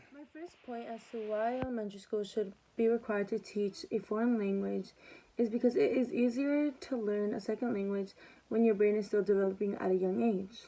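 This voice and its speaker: A woman with a Spanish accent speaks fairly quickly in a dark, mellow tone, her fairly high pitch paired with big swings in loudness. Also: ordinary pitch variation. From Mexican-American household, US. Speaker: student. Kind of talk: class presentation. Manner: halting, with repetitions.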